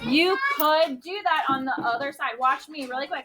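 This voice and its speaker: Raised and projected, a woman's high-pitched voice carries lively intonation. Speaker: art teacher. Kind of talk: classroom instruction to young children. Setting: classroom. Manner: animated.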